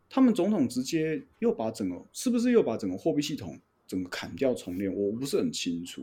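With a Taiwanese accent, a man speaks at a fairly quick pace and a fairly high pitch, his dark, mellow tone moving through very wide pitch swings. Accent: Taiwanese Mandarin. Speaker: flight instructor. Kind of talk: casual chat.

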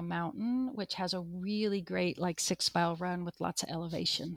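A woman with an American accent speaks fairly quickly at medium pitch in a plain, everyday voice. The sound is dry and close with no echo, in a very clean recording against a silent background. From US Pacific Northwest, eastern Washington State. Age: 50s. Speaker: ultra running coach and finance manager. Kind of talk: interview, personal testimony.

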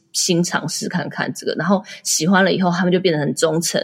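A woman's ordinary speaking voice, fairly low in pitch, at a fairly quick pace with fairly even intonation. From Taiwan. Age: 30s. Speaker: entrepreneur and blogger. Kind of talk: interview.

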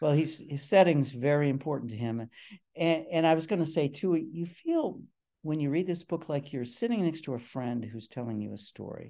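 The voice has a dark, mellow tone and an American accent, with ordinary pitch variation. It moves at a moderate pace over a quiet background. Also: man, fairly high pitch for a man. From Cleveland, Ohio. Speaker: crime fiction author. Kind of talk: casual interview chat.

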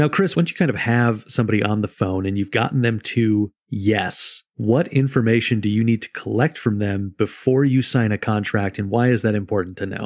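In a very clean recording with a silent background, a man with a normal speaking voice talks at a fairly low pitch with ordinary pitch variation and hardly any pauses. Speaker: podcast host. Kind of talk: interview.

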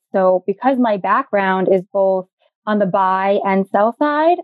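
A woman with a New York accent, medium pitch, moderate pace. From New York, the Bronx. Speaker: digital advertising consultant. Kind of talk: interview.

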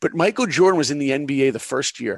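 An energetic man with an American accent, very fast-paced and with vocal fry, in a dry, close sound with no echo over a quiet background. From New York, Long Island. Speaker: animator and film producer. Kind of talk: interview storytelling.

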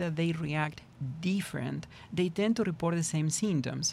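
A moderate pace in an Argentine accent. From Argentina. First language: Spanish. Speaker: trauma therapist. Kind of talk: interview discussion.

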